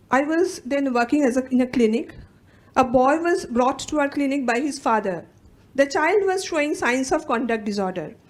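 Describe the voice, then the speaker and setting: A woman with a Bengali accent talks at a moderate pace, her high pitch rising and falling in lively intonation. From India, West Bengal (Calcutta). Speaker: psychologist and academic researcher. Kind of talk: conference talk, partly read aloud. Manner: reading from a script.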